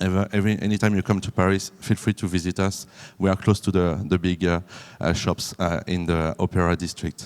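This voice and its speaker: A man's very deep, low voice with a French accent, fairly even intonation and a fairly quick pace on a very clean recording with a silent background. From France. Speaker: business development manager. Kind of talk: conference presentation. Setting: conference room with audience. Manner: halting, many fillers.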